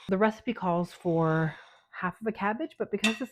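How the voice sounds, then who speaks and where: In a very clean recording with a silent background, a woman talks at a moderate pace at medium pitch with ordinary pitch variation. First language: not English. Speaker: cooking channel host. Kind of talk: cooking tutorial. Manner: casual, chatty.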